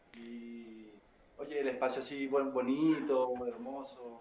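Noticeable background noise sits behind the recording. A man speaks with ordinary pitch variation. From Venezuela. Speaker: bass player. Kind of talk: casual chat.

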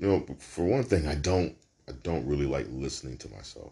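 The man's pitch is very deep and low, with vocal fry. His pitch moves with ordinary variation. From Brooklyn, New York. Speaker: podcast host and comedian. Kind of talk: casual solo monologue.

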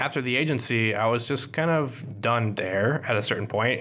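The speaker is a man with a moderate pace. Background noise is noticeable. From US Midwest, partly Kansas City. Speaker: podcast host, graphic designer. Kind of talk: solo podcast monologue. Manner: casual, joking.

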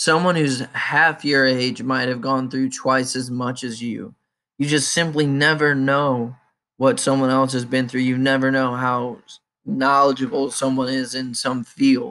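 Heard on a very clean recording with a silent background, a man speaks at a fairly slow pace in a bright, sharp tone at a medium pitch with fairly even intonation. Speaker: podcaster and blogger venting. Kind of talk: angry rant, solo monologue to listeners. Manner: fired-up, defiant, blunt, emphatic with profanity; preachy and confrontational, direct address to 'you people'.

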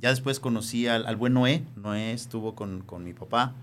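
A man with an unremarkable speaking voice talks at a medium pitch and a moderate pace. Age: 50s. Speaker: teacher, former seminarian. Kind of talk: casual chat.

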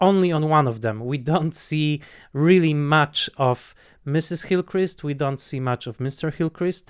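This man speaks with a Polish accent, a fairly high pitch and ordinary pitch variation. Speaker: film critic podcast host. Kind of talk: casual film discussion. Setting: online call. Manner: halting with many fillers.

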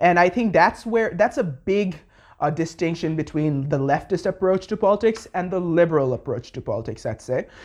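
A man speaks at a moderate pace with a Bengali accent, his pitch high. His intonation is lively over a quiet background. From Bangladesh. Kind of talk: casual political discussion. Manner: halting, many fillers.

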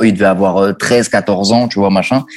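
With noticeable background noise behind him, a man talks at a moderate pace and a fairly low pitch. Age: 30s. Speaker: music video director. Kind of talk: interview, casual chat.

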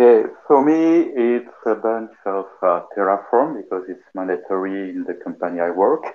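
Speaking with a French accent, a man talks with hardly any pauses. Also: moderate pace. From France, Paris. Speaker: cloud infrastructure engineer. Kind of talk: casual tech discussion.

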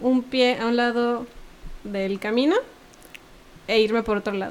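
A woman talks at a very slow pace in a high pitch. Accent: Mexican. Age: 20s. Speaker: cultural producer and former cellist. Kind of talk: casual interview.

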